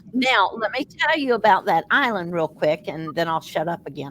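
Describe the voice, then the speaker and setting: A woman with an American accent, fairly low pitch and lively intonation at a moderate pace, against noticeable background noise. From US South. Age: 70s. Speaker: paranormal investigator. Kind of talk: casual chat.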